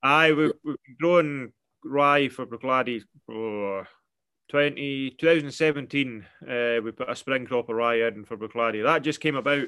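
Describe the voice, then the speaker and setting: A man with a Scottish island accent speaks at a fairly slow pace in a medium pitch, his tone bright and sharp, his pitch variation ordinary, over a quiet background. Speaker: farmer. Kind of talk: casual interview chat.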